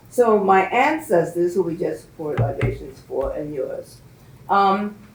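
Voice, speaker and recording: A woman talks at a fairly slow pace with a medium-pitched voice. Noticeable background noise and audible room echo fill the recording. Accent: American. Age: 80s+. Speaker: community elder and educator. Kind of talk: talk to a class. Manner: halting.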